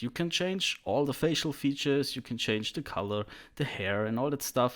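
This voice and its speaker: Lively intonation comes through in a German accent on a very clean recording with a silent background. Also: man. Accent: German accent, self-described bad English. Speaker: 3D artist, tutorial creator. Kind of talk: tutorial. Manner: casual, hesitant at times.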